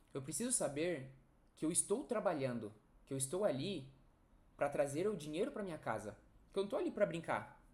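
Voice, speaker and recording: Audible room echo surrounds a man's fairly high voice. His pitch swings very widely, broken by long, frequent pauses. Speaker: nursing educator. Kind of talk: online lecture. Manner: fast.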